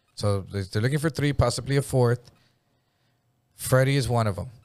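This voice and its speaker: Speaking at a moderate pace with an American accent, a man sounds animated, with ordinary pitch variation, on a very clean recording with a silent background. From Jefferson area (US). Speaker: storyteller recounting past crimes. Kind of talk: casual chat.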